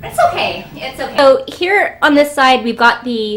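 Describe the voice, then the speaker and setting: A woman speaks over noticeable background noise. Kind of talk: casual product review to camera. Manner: hesitant, many fillers.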